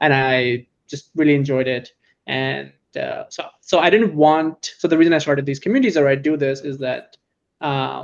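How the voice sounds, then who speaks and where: A man talks at a moderate pace with fairly even intonation. His is an unremarkable speaking voice, fairly high in pitch. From California. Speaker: startup founder. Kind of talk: interview.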